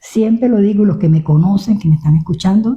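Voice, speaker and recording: Her tone dark and mellow and somewhat breathy, a woman talks at a fairly quick pace with ordinary pitch variation. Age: 70s. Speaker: pastor. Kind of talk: testimony. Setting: radio studio interview.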